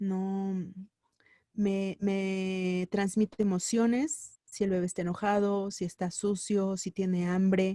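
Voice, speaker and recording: A woman's dark, mellow voice at a medium pitch, flat and monotone, at a very slow pace in a dry, close sound with no echo. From central Mexico (State of Mexico / Mexico City). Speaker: radio workshop instructor. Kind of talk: lecture.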